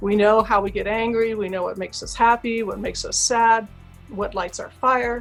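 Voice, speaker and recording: A woman with an American accent at a moderate pace, music playing in the background. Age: 60s. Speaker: author and public speaker. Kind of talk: interview. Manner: animated.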